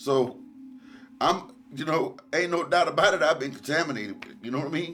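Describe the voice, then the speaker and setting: Fairly high-pitched and fairly quick, a man with an American accent makes very wide pitch swings and big swings in loudness. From Decatur, Alabama. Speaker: local resident. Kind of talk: interview.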